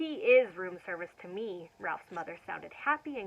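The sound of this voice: Heard here is an unforced reading voice.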